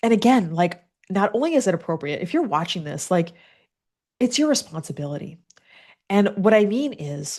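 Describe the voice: Using a raspy, put-on character voice at a medium pitch, a woman speaks at a moderate pace with very wide pitch swings and long, frequent pauses.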